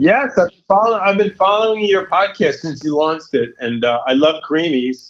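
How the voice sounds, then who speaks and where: With a New York accent, a man talks at a moderate pace in an energetic tone, barely pausing. His high voice makes very wide pitch swings and big swings in loudness. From New York, Long Island area. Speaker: youth services director. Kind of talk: podcast interview.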